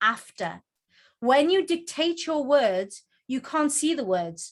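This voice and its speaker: Animated woman with a Geordie accent, very wide pitch swings, on a very clean recording with a silent background. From northern England, Newcastle (Geordie). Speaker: book coach and author. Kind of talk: presentation. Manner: fast.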